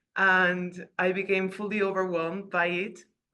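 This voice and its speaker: A woman with a slight Spanish accent speaks at a fairly slow pace, her voice at a medium pitch with a bright, sharp tone. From Peru. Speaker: participant on a video call. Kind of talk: casual testimony.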